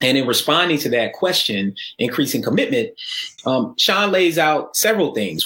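A man with an American accent and a normal speaking voice, fairly high-pitched, with lively intonation at a moderate pace. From Atlanta, US South. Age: 40s. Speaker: sociology professor. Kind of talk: panel discussion.

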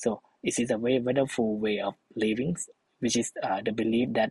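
In a Thai accent, a man at medium pitch talks at a fairly quick pace with monotone, flat intonation and a dry, close sound with no echo. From northeastern Thailand. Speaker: social entrepreneur, travel company founder. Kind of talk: interview conversation. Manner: halting, filler-heavy.

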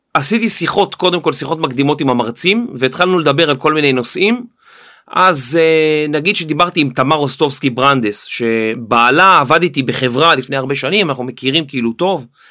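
A man's fairly high, bright, sharp voice with lively intonation at a fairly quick pace. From Israel, with teen years in the US. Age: 40s. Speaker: podcaster. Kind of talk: interview.

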